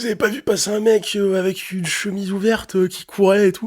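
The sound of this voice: Putting on a character voice, a man talks at a fairly quick pace. His pitch is high, with monotone, flat intonation.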